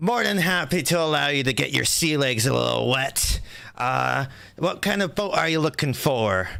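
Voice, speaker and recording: A man puts on a gruff character voice at medium pitch, speaking at a moderate pace with very even loudness. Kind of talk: nautical, hearty.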